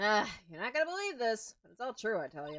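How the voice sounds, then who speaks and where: A man's whiny put-on character voice, high-pitched, very fast, with very wide pitch swings. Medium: game stream. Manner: whiny, childish.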